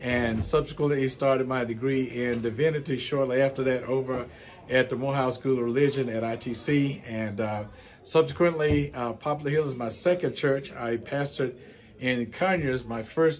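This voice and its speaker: The voice carries an American accent with fairly even intonation. It moves at a moderate pace, and audible room echo surrounds it. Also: man. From US South. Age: 60s. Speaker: pastor. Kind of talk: interview. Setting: church.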